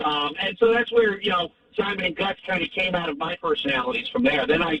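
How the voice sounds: A high-pitched man talks at a fairly quick pace with ordinary pitch variation.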